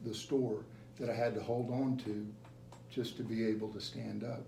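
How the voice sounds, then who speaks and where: Audible room echo surrounds a man whose intonation is monotone and flat. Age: 60s. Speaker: gym member. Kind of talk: interview testimony. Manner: halting, repeats words.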